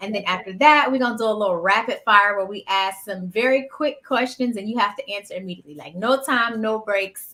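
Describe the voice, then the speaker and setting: Barely pausing, a woman with an American accent speaks at a fairly high pitch in a bright, sharp tone with ordinary pitch variation. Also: big swings in loudness. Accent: Southern drawl, masked unless comfortable. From US South. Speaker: podcast host. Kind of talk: casual chat. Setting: live stream.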